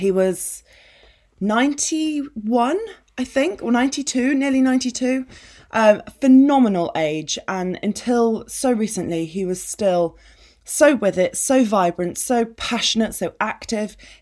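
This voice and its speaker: A woman's fairly high voice with an English accent, lively intonation and a fairly slow pace, on a very clean recording over a silent background. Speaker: podcast host, business coach. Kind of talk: personal monologue.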